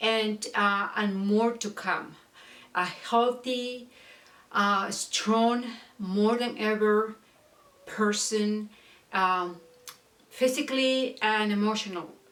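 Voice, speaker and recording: A woman talks at a very slow pace with long, frequent pauses. Her fairly high voice keeps a fairly even intonation. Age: 60s. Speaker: beauty and fashion vlogger. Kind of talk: casual vlog talk and product review. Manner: halting with many fillers.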